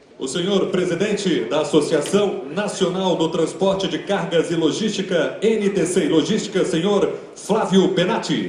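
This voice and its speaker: A man at a high pitch and moderate pace, with fairly even intonation, over noticeable background noise. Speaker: master of ceremonies. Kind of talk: formal event opening announcement. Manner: formal, ceremonial.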